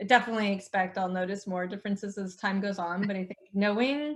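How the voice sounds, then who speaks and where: Speaking very fast, a woman keeps her pitch variation ordinary. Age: 40s. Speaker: online cycling racer and coach. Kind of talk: casual chat.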